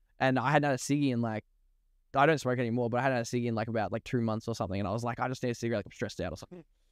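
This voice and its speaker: A man races along at a very fast pace and medium pitch in a very clean recording with a silent background. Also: ordinary pitch variation. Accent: Australian. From Australia, Melbourne eastern suburbs. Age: 30s. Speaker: rapper. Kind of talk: casual chat.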